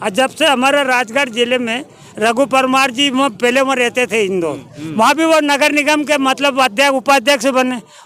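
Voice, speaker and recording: Over noticeable background noise, a man uses a raised, projected voice at an extremely high pitch, with hardly any pauses. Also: ordinary pitch variation. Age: 80s+. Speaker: elderly local resident. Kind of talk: street interview.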